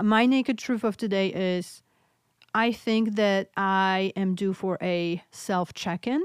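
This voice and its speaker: Speaking very slowly with a Polish accent, a woman is heard in a very clean recording with a silent background and a dry, close sound with no echo. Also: medium pitch for a woman, very even loudness. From Poland. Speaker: podcast host, mental health nurse practitioner. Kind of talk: interview. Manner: animated.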